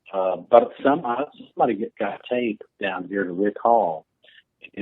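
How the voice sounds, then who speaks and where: A man talks at a moderate pace. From northern Illinois (Quad Cities). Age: 60s. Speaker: retired country musician. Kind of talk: interview.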